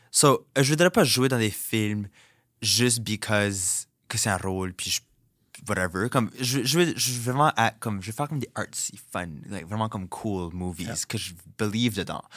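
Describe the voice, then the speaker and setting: A man with a fairly low pitch speaks at a moderate pace in an animated tone with lively intonation, in a very clean recording with a silent background. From Dieppe, New Brunswick (Acadian, southeast). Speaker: drag queen and content creator. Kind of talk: interview. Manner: animated, mixing French and English.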